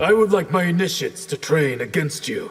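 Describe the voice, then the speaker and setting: Putting on a character voice, a man speaks at a fairly quick pace in a high pitch. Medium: video game. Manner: formal, dignified.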